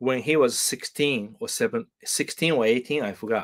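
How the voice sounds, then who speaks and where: With a Japanese accent, a man speaks at a medium pitch in a bright, sharp tone. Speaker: guitar teacher. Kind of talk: live stream chat. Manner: halting, many fillers.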